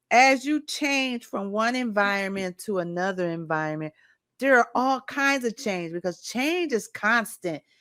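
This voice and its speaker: A woman with a medium pitch speaks in a plain, everyday voice, with lively intonation and a fairly slow pace. The very clean recording has a silent background and a dry, close sound with no echo. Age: 60s. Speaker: podcast host. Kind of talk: interview.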